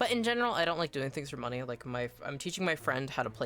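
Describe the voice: Someone reads a passage out loud in a plain manner.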